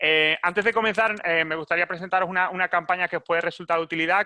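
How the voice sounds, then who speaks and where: Very fast and bright, a man's sharp tone comes through with a Spanish accent and fairly even intonation. The sound is dry and close with no echo, against a quiet background. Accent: Spanish (Spain). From Spain. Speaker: webinar moderator, marketing manager. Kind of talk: webinar presentation. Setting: live online webinar. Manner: halting, many fillers and repetitions.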